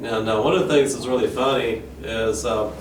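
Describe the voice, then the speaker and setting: A South Carolina accent at a moderate pace with ordinary pitch variation, audible room echo and noticeable background noise. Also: man. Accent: Southern US (South Carolina). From South Carolina, US South. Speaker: banjo player and pastor. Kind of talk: casual talk to camera. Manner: halting, many fillers.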